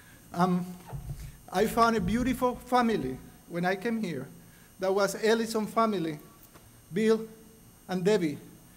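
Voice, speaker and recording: This man speaks with a Spanish accent in a high pitch, at a moderate pace with long, frequent pauses and ordinary pitch variation. Room echo is audible. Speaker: award recipient. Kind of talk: acceptance speech.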